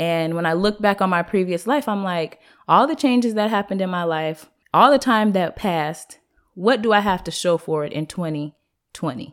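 With lively intonation, a woman in an unremarkable speaking voice at medium pitch comes through on a very clean recording with a silent background. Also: moderate pace. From US Pacific Northwest, Seattle. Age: 20s. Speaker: entrepreneur, clothing line owner. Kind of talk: casual interview.

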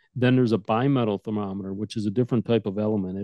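A man with an American accent speaks in a fairly low pitch. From Detroit, Michigan. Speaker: instrument sales manager. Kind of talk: interview explanation.

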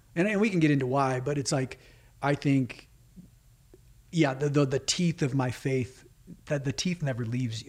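A somewhat breathy, fairly high-pitched man with an American accent, with long, frequent pauses, in a very clean recording with a silent background. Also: ordinary pitch variation, moderate pace. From California. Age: 30s. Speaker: filmmaker. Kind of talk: interview.

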